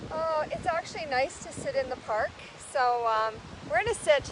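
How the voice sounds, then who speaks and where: A woman shouts loudly with very wide pitch swings over noticeable background noise. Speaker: yoga instructor. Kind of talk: live-streamed yoga class. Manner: loud, shouting over wind.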